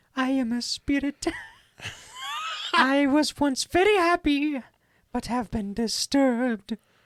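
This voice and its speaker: A female-sounding put-on character voice speaks at a high pitch and a fairly slow pace, with long, frequent pauses. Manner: spooky.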